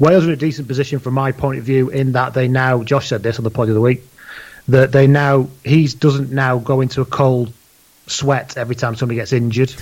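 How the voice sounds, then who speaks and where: A man at medium pitch, very fast and flat in a monotone, somewhat breathy. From northern England (Leigh, Lancashire). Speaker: podcast host and rugby blogger. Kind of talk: casual chat.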